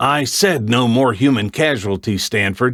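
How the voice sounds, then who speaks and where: A man puts on a character voice at medium pitch. He speaks at a moderate pace. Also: very clean recording, silent background. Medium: read story.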